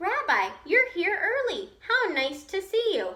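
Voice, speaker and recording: The pace is fairly slow, and the pitch swings very widely. It's a put-on character voice with a squeaky sound. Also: woman, extremely high pitch for a woman. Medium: read story. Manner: warm, chatty, hospitable.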